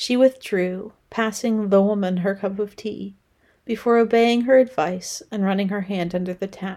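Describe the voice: What's heard here is simply plain reading aloud.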